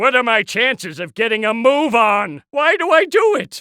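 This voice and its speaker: Cackling in a put-on character voice, a man projects loudly with very wide pitch swings. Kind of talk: cartoon villain comic overacting. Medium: video game. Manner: impatient, sarcastic, evil cackling.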